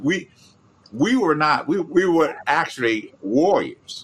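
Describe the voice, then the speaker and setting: A man speaks with a Memphis accent. His pitch is fairly high. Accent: Southern US, Memphis. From Memphis, Tennessee. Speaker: podcast host, grandfather. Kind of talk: casual chat. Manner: soft-spoken.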